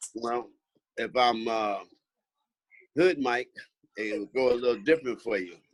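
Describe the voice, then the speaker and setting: Medium in pitch with ordinary variation, a man talks fairly slowly with long, frequent pauses. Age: 60s. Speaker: pastor and former prisoner. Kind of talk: testimony; casual chat.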